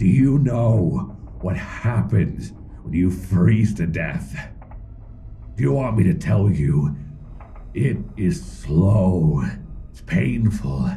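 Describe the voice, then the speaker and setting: Using a put-on character voice, a man speaks at a very slow pace with a very deep, low pitch over clear background noise. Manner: menacing, wheedling, slow.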